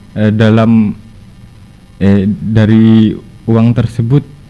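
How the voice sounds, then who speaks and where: A man's voice with music in the background. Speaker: former student organization officer. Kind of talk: podcast interview, advice. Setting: studio podcast.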